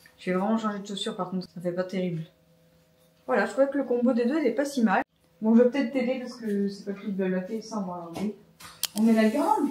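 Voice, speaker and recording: Behind noticeable background noise, a woman talks at a very fast pace with long, frequent pauses. Her pitch is fairly high, with ordinary pitch variation. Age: 30s. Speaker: vlogger. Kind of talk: casual vlog talk to camera.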